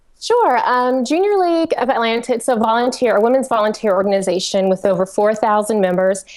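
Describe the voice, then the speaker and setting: A woman with a strong Southern US accent, fairly high pitch, ordinary pitch variation, very even loudness, a very fast pace and hardly any pauses. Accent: Southern twang, fairly strong. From US South, Georgia. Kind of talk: casual chat. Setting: live webcast.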